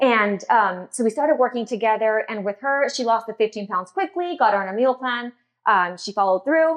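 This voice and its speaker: A plain, everyday voice with an American accent moves at a fairly quick pace. The intonation is lively. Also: woman. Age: 40s. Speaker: dietitian and wellness keynote speaker. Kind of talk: keynote speech.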